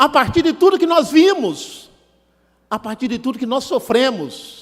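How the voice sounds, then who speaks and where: The man's pitch swings very widely while his pace stays fairly slow. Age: 60s. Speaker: human rights activist and lecturer. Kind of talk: seminar lecture. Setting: stage in a legislative auditorium.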